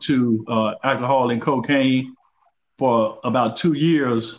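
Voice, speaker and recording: A normal speaking voice from a man, medium-pitched and with fairly even intonation. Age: 60s. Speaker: guest on mental health talk show. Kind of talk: interview conversation.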